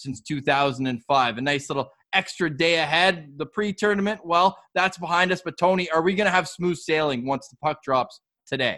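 Speaking with a Canadian accent, a man has a fairly high pitch and a bright, sharp tone. He keeps a moderate pace with ordinary pitch variation. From Canada. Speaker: podcast host. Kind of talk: casual chat.

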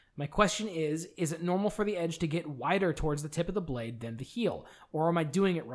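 Lively intonation marks this man's plain, everyday voice. He speaks at a fairly quick pace with a fairly high pitch. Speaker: podcast co-host. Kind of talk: casual chat.

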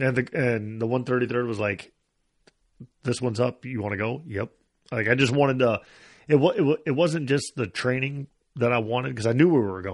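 At a moderate pace, a man with a medium pitch and ordinary pitch variation speaks with long, frequent pauses against a quiet background. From US Midwest, northeast Iowa. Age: 40s. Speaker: army veteran, sniper. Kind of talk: casual chat.

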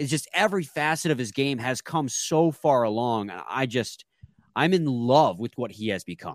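A man's medium-pitched voice with lively intonation, on a very clean recording with a silent background. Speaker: sports podcast host. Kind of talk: casual chat. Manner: fast when excited, stumbles over words.

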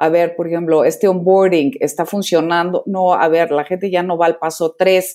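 The delivery moves at a moderate pace with hardly any pauses. The tone is dark and mellow, with monotone, flat intonation. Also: woman, fairly low pitch for a woman. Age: 50s. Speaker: digital publisher and app founder. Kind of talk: interview.

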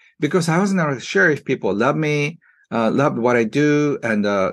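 Against a quiet background, a man with a Japanese accent speaks at a moderate pace in a fairly high pitch. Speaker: self-help author. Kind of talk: interview. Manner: halting, many fillers.

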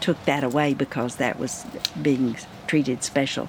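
A woman talks with a Texan accent in a very deep, low pitch and a monotone, flat intonation. Her pace is fairly slow, and background noise is noticeable. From West Texas (Odessa). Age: 80s+. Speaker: retired school registrar and substitute teacher. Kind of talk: interview.

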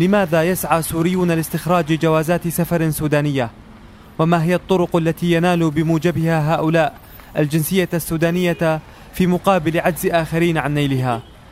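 Moderate pace and very even loudness from a man, high-pitched with monotone, flat intonation. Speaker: radio reporter. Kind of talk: scripted narration.

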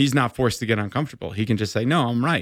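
Speaking at a very fast pace, a man uses a medium pitch with ordinary variation in a very clean recording over a silent background. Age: 40s. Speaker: endurance coach. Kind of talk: casual chat. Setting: studio.

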